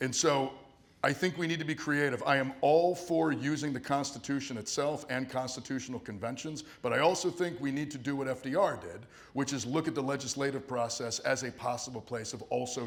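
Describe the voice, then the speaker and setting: A man talks at a fairly quick pace with ordinary pitch variation. His medium-pitched voice carries audible room echo. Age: 40s. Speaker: political candidate. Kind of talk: town hall Q&A answer. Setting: town hall hall with audience, microphone.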